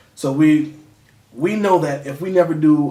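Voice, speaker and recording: An animated tone comes through audible room echo and noticeable background noise. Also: man. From Connecticut (New Haven), moved to Virginia at about nine. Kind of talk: interview. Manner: casual, animated.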